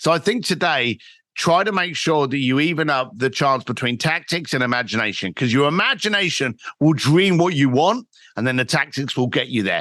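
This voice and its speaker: A fairly high-pitched man with a London accent, a bright, sharp tone, lively intonation and a fairly quick pace, on a very clean recording with a silent background. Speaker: entrepreneur and author. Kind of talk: podcast interview.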